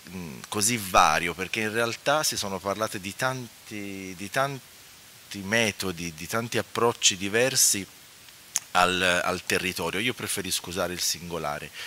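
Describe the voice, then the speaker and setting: A man with fairly low pitch, in a dry sound with no echo over light background noise. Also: ordinary pitch variation, fairly slow pace. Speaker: architect and urban planning historian, lecturer. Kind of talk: conference talk. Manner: soft-spoken; halting. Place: hall. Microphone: podium.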